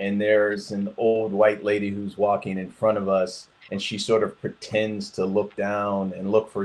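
A man speaks with an American accent. His pitch is fairly low and his pace fairly slow. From Detroit, Michigan, US. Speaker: engineer. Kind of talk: interview. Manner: halting.

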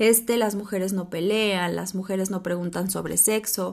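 With a Mexican accent, a woman speaks at a medium pitch and moderate pace in a monotone, flat way, in a very clean recording with a silent background. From Mexico. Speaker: podcast host. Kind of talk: solo podcast monologue.

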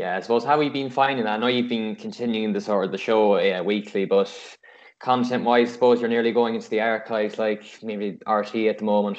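This man speaks with an Irish accent at a medium pitch. His pace is fairly quick and his intonation fairly even. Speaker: podcast host. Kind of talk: casual interview.

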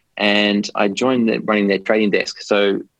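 A fairly low-pitched man with an Australian accent. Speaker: biotech investment executive. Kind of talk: interview.

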